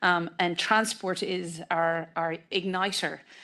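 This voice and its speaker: A woman's fairly low, bright, sharp voice in a western Irish accent, with monotone, flat intonation against a quiet background. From west of Ireland. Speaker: politician. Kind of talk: panel discussion speech. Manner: hesitant, many fillers.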